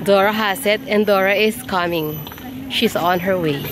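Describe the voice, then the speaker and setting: The pace here is fairly slow. Noticeable background noise can be heard. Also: woman. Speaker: travel vlogger. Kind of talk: casual vlog narration. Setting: outdoors in a park.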